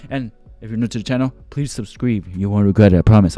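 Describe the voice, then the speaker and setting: With music playing in the background, a man talks at a fairly low pitch with ordinary pitch variation. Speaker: gaming YouTuber. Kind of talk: let's play commentary outro. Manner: animated.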